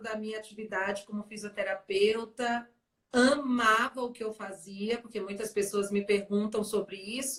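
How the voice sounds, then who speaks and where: This woman has a fairly high pitch. She speaks at a fairly slow pace. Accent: Bahian. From Bahia, Salvador. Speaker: sales director, former physiotherapist. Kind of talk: live stream interview. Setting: Instagram live.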